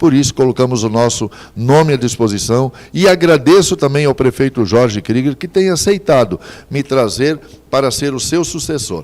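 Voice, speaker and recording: A man with a medium pitch talks at a moderate pace, his voice swinging very widely in pitch. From Santa Catarina, southern Brazil. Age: 60s. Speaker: mayoral candidate, politician. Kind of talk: political interview. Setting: TV studio, live broadcast.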